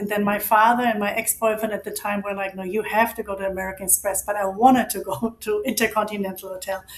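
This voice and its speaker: Speaking with a German accent at a very fast pace with hardly any pauses, a woman holds a medium pitch in monotone, flat intonation. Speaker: financial advisor. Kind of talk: interview.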